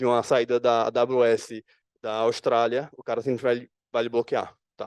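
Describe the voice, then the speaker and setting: A man with a medium pitch is recorded in a dry, close sound with no echo over a quiet background. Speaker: security analyst presenting at conference. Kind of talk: conference talk. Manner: fast.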